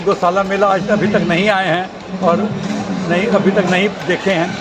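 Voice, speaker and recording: A man talks at a moderate pace with a high pitch and ordinary pitch variation. Music plays in the background, and the room echo is audible. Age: 70s. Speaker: festival visitor. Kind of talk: news interview soundbite.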